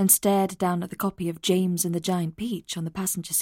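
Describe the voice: This is plain reading aloud. The delivery stays plain throughout.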